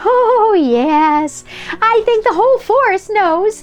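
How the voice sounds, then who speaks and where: In a put-on character voice, a woman squeaks at an extremely high pitch and a very slow pace, with faint music in the background. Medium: read story. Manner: giggly.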